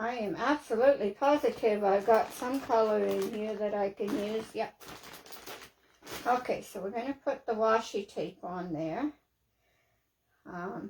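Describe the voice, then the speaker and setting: A woman with a normal speaking voice talks at a fairly slow pace. Her fairly high pitch shows ordinary pitch variation. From Canada. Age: 60s. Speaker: craft livestreamer. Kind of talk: casual livestream chat while crafting.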